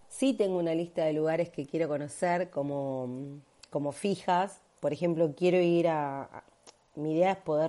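In a Rioplatense accent, a woman speaks at a fairly slow pace with a dark, mellow tone and ordinary pitch variation. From Argentina, Buenos Aires. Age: 30s. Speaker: digital nomad, digital marketer. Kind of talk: recorded testimony.

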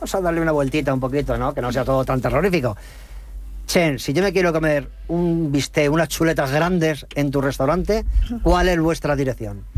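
Here a man talks in an unremarkable speaking voice with a fairly high pitch. His pace is fairly quick, and his pitch varies in an ordinary way. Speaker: radio host. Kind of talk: panel talk show.

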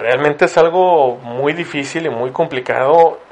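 There is noticeable background noise. Over it, a man speaks at a fairly slow pace with fairly even intonation. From Ciudad Victoria, Tamaulipas, northeastern Mexico. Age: 30s. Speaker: podcast host. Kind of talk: casual interview. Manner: halting, many repeated words.

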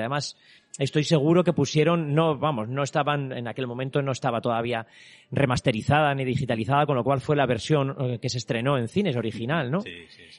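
A man with a plain, everyday voice, fairly high-pitched, talking at a fairly quick pace with ordinary pitch variation. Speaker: artist and exhibition creator. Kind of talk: interview. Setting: exhibition venue with visitors.

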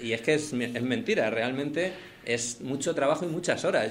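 A man has an unremarkable speaking voice with a fairly high pitch. He moves at a fairly quick pace with lively intonation. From Madrid, Spain. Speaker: singer-songwriter. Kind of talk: interview.

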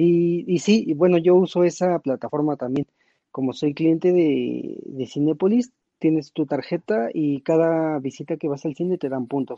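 The pace of a normal speaking voice is fairly slow. Pitch variation stays ordinary. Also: man, fairly high pitch for a man. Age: young. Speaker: tech enthusiast panelist. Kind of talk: casual chat.

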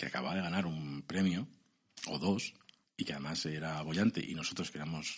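Speaking with a central Spanish accent, a man talks at a fairly quick pace. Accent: central Peninsular Spanish. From Spain, Segovia (Castile). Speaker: novelist and columnist. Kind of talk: interview.

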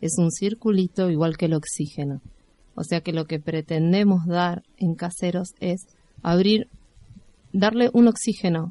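This woman has a fairly low pitch and a dark, mellow tone, with ordinary pitch variation. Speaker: community radio co-host. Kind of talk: casual radio chat.

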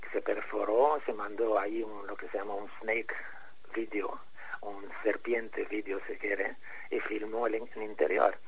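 A man speaks at a moderate pace. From Egypt. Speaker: architect and pyramid researcher. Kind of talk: interview. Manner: halting.

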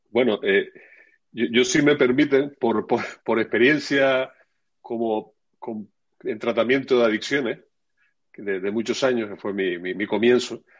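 Against a quiet background, a man at a medium pitch speaks at a moderate pace with ordinary pitch variation and long, frequent pauses. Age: 60s. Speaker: addiction therapist. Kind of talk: casual panel discussion.

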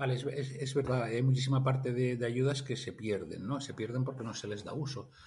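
A somewhat breathy man talks at a fairly quick pace with fairly even intonation. Room echo is audible. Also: medium pitch for a man, hardly any pauses. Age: 50s. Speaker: industrial engineer and grants consultant. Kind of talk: interview. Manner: halting, many repetitions.

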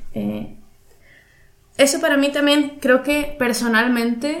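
Very slow speech from a woman, audible echo of the room behind it. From Mexico, Veracruz. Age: 30s. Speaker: painter. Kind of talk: casual interview chat.

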